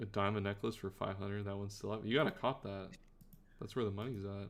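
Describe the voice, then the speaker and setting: Speaking at a very fast pace, a man has a fairly low pitch and fairly even intonation. He speaks with a slight Canadian accent. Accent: slight Canadian accent on specific words. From Canada. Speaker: streamer and game commentator. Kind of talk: live stream commentary and casual chat. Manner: casual, filler-heavy.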